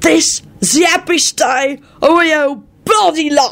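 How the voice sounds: A woman's put-on character voice, high in pitch and fairly bright in tone, at a slow pace. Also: ordinary pitch variation.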